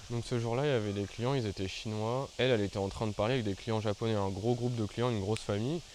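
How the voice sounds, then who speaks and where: A man speaks at a very fast pace. His medium pitch holds fairly even intonation. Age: 20s. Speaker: YouTuber. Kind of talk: storytelling vlog. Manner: casual, hesitant with fillers.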